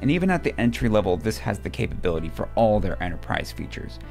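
A man talks at a fairly quick pace with a very deep, low pitch. Faint music plays in the background. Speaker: presenter. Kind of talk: product overview presentation. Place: studio. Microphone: studio mic.

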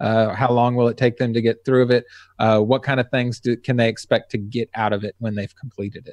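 Against a quiet background, a man with an American accent talks at a fairly quick pace in a monotone, flat intonation. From Texas. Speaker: web design podcast host. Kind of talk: casual interview; podcast conversation. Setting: video call. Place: home room. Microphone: studio mic.

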